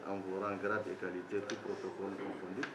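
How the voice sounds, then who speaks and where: A man speaks with a fairly low pitch. Noticeable background noise and audible room echo surround his voice. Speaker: government official. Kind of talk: formal speech. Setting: ceremony with audience. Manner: formal.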